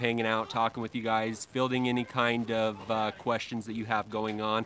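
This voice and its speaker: A man's voice with a bright, sharp tone. The sound is dry with no echo, over light background noise. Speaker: lawn care livestream host. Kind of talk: casual live stream chat. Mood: cheerful, relaxed. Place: street. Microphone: phone near.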